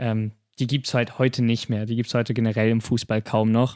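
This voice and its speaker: In a very clean recording with a silent background and a dry, close sound with no echo, a man of medium pitch speaks at a moderate pace in a monotone, flat way. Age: 20s. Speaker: podcast host. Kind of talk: casual chat.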